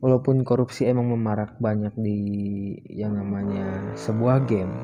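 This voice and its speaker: A soft-spoken man at a moderate pace with ordinary pitch variation, music playing in the background. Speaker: gaming vlogger. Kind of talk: casual vlog monologue. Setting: recording at dawn while riding. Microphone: voice recorded quiet.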